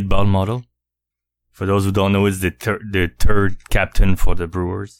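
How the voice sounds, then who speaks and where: A man talks in a normal speaking voice with a fairly low pitch and fairly even intonation. The sound is dry and close with no echo. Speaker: guest co-host, hobby painter. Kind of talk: casual chat.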